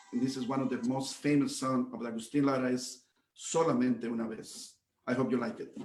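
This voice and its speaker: A man speaks at a fairly quick pace with fairly even intonation. His pitch is medium, and there is audible room echo. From Reynosa, Tamaulipas, Mexico. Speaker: mariachi guitarist. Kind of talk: live performance banter. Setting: video call.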